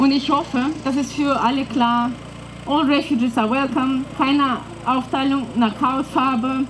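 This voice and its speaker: Over noticeable background noise, a woman with a high pitch speaks at a moderate pace with fairly even intonation. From Russia, northwest. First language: Russian (speaking German). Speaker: activist. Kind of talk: prepared speech.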